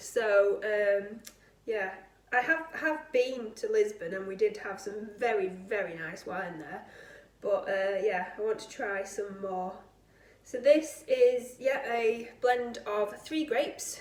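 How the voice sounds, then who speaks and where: In a British accent, the speaker goes very slowly with big swings in loudness, over noticeable background noise. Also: woman, fairly high pitch for a woman, ordinary pitch variation. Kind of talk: casual talk to camera. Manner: chatty, hesitant.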